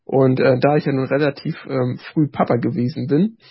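Somewhat breathy, a man speaks at a fairly high pitch with fairly even intonation. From northern Germany, Rostock. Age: 30s. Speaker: author and former elderly-care worker, care manager. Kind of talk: casual interview chat.

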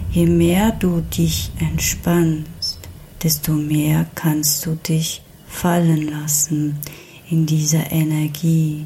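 A soothing, calm tone moves at a very slow pace over noticeable background noise. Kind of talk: guided trance meditation. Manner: slow, soothing, calm; repetitive, gentle pacing with pauses.

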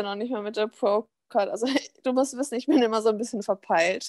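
Speaking at a fairly quick pace, a woman with a fairly high voice is heard in a dry, close sound with no echo. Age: 20s. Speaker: bodybuilding figure athlete. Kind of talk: casual chat. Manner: animated.

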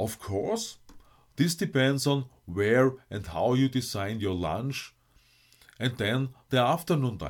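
On a very clean recording with a silent background, a man with a German accent speaks at a medium pitch and a very slow pace, with lively intonation and long, frequent pauses. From Austria. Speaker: life coach and podcast host. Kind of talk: scripted monologue.

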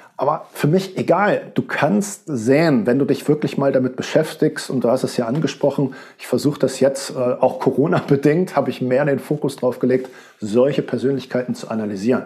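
A man with an unremarkable speaking voice talks at a moderate pace in a fairly high pitch, with ordinary pitch variation. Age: 40s. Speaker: rhetoric coach. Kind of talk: interview.

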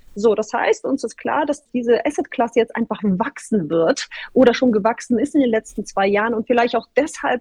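The recording has a dry, close sound with no echo. A woman talks in a high pitch, her pitch variation ordinary. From northern Germany (Bremen). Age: 30s. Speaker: data center industry executive. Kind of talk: interview.

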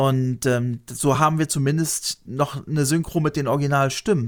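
A man with an ordinary speaking voice, fairly high pitched, with ordinary pitch variation and a moderate pace. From Lower Saxony, Germany. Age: 50s. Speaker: YouTuber. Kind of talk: casual interview.

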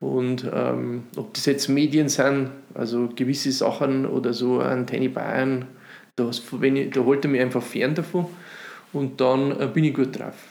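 The man's pitch sits at a medium level, with monotone, flat intonation. He speaks at a fairly slow pace. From Upper Palatinate, Bavaria (Runding near Cham). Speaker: cabaret artist and musician. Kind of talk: casual interview chat. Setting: dining room at host's home.

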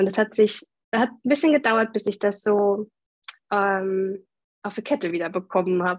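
The speaker has a plain, everyday voice. The pace is moderate and the pitch varies in an ordinary way. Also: woman. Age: 30s. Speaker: mother of two, course participant. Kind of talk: interview, personal testimony.

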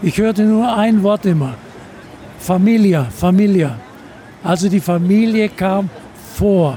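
A high-pitched man at a fairly slow pace, ordinary pitch variation, noticeable background noise. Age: 80s+. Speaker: retired airline captain. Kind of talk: interview. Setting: on board an aircraft.

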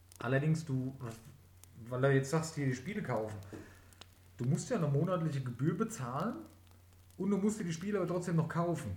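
Fairly high-pitched and lively in intonation, a man talks at a fairly quick pace with long, frequent pauses and audible room echo. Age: 30s. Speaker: podcast host, gamer. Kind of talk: casual chat.

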